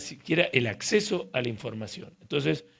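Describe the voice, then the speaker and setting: A man speaks in a plain, everyday voice at a medium pitch. His pace is moderate and his intonation lively. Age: 60s. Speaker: urology professor. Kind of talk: casual interview conversation.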